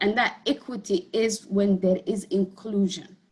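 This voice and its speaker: A woman speaks in a Somali accent at a very slow pace. Her voice is somewhat breathy. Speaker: community health advocate, clinic board member. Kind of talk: panel discussion.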